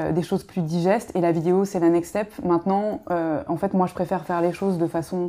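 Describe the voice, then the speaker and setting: A woman with a dark, mellow tone and fairly low pitch talks at a fairly quick pace with fairly even intonation. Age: 30s. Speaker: media co-founder, former radiologist. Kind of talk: casual interview chat. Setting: host's home.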